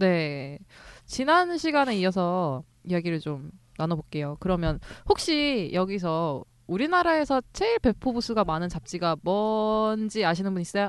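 Against a quiet background, a woman with a medium pitch speaks fairly slowly, her pitch swinging very widely. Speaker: podcast co-host. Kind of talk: casual chat.

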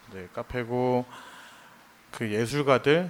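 His pitch is medium. The man speaks very slowly. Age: 30s. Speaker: designer and music fan. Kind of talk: casual chat. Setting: live stage with audience.

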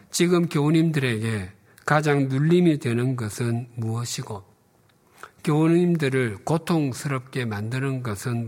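A man with a medium-pitched voice talks very slowly, his pitch varying in an ordinary way. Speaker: pastor. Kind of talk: sermon.

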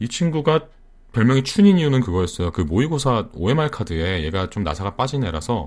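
A man's voice full of vocal fry with very wide pitch swings. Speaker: online radio host. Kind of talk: casual live broadcast chat. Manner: laughing often.

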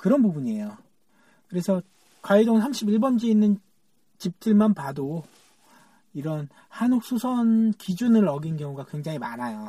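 A man talks in a high pitch with a dark, mellow tone and very wide pitch swings. His speech has long, frequent pauses. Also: fairly slow pace. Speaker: podcast host. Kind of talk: solo monologue on local history. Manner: occasional stammering.

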